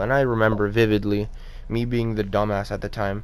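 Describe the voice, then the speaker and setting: Audible room echo surrounds a man's voice. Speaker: gaming commentator. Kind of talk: unscripted commentary rant. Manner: halting, stuttering; casual, profane.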